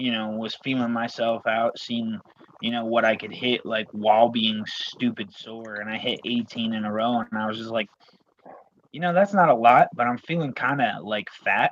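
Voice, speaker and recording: A man with an unremarkable speaking voice talks at a moderate pace, medium in pitch with ordinary pitch variation. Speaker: arm wrestler. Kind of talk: casual chat. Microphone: connection freezing, robotic sound.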